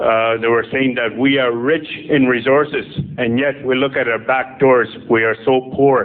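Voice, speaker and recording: A man's monotone, flat delivery at medium pitch and a moderate pace, with noticeable background noise. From northern Saskatchewan, Canada. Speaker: political candidate. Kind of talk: campaign speech.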